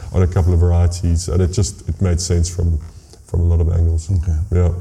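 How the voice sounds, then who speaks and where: A man's voice over noticeable background noise. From South Africa, Hermanus. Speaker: winemaker. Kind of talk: casual interview.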